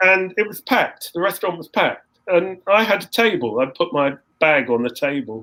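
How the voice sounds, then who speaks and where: With an English accent, a man speaks at a fairly quick pace in a high pitch, his bright, sharp tone marked by very wide pitch swings and big swings in loudness. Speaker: composer and saxophonist. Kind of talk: interview, casual storytelling. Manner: halting, repetitive restarts.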